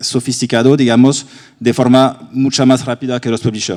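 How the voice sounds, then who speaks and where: With a French accent, a man at medium pitch talks at a moderate pace in a monotone, flat intonation. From France. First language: French (speaking Spanish). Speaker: ad-tech industry panelist. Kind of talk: panel discussion.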